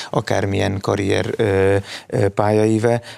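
The speaker is a man talking at a fairly slow pace. His intonation stays monotone and flat. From Hungary. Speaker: researcher; talk show guest. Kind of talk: studio discussion. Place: studio. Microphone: lapel.

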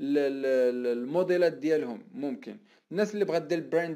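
In a very clean recording with a silent background, a man with a fairly high pitch and a dark, mellow tone talks at a fairly quick pace. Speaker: online marketing coach. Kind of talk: live stream talk. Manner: animated, conversational.

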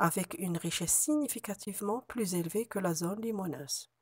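Somewhat breathy, this voice sounds dry and close, with no echo. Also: woman. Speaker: university researcher. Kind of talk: conference presentation. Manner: formal.

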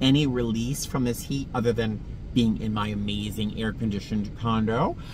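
There is noticeable background noise as a man speaks at a moderate pace. The sound is dry with no echo. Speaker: vlogger. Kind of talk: casual vlog chat. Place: car. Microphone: phone near.

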